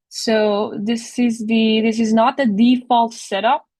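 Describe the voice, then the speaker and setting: A woman speaks at a fairly high pitch with a Persian accent. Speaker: teaching assistant. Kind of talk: tutorial. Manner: halting.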